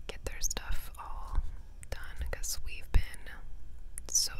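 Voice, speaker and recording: Over noticeable background noise, a soft-spoken woman whispers at a fairly slow pace. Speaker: vlogger. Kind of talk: casual vlog chat. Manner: soft close-mic ASMR whisper. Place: car. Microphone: lapel.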